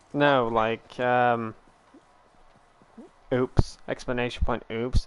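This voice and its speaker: Very slowly and in a monotone, flat delivery, a man speaks at medium pitch with a British accent. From Britain. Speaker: gaming streamer. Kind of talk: casual chat. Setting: live stream.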